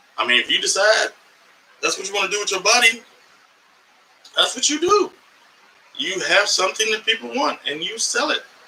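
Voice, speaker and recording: Over noticeable background noise, a man with an American accent talks at a fairly quick pace, broken by long, frequent pauses. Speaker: comedian and podcast host. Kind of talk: live podcast monologue. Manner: animated.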